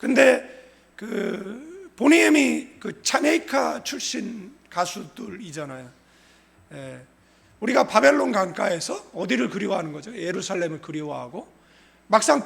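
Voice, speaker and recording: At a fairly slow pace, the voice shows very wide pitch swings and big swings in loudness. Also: man. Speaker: pastor. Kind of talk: sermon.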